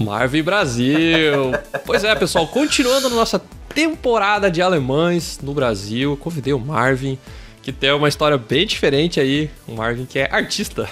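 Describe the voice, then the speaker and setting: Music plays in the background. A man talks at a fairly slow pace in a fairly high pitch. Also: lively intonation. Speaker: podcast host. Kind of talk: casual podcast conversation.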